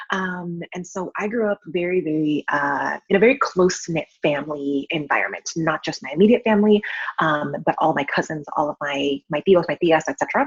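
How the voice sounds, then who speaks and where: With an American accent and an unremarkable speaking voice, a woman talks at a fairly quick pace and fairly low pitch, with lively intonation and hardly any pauses, in a dry, close sound with no echo. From San Francisco Bay Area, California. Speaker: account manager and wedding photographer. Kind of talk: personal testimony in a panel interview. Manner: many filler ums.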